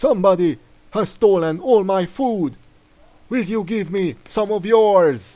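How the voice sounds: A man uses a put-on character voice at a high pitch. He speaks at a fairly slow pace.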